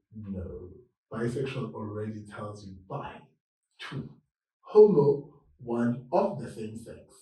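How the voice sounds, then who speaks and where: A man speaks at a very slow pace with long, frequent pauses, his tone dark and mellow and his intonation lively. His loudness swings widely, and room echo is audible. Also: medium pitch for a man. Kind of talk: interview chat.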